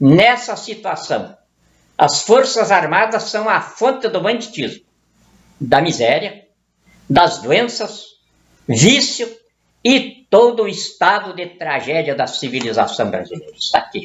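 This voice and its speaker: Speaking at a very slow pace with long, frequent pauses, a man talks in a high pitch. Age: 70s. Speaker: political commentator. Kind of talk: political monologue. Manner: heated.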